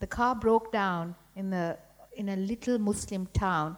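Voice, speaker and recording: A woman talks in a Sri Lankan accent at a medium pitch. Her intonation stays fairly even. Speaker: writer. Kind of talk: panel discussion. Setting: stage with audience.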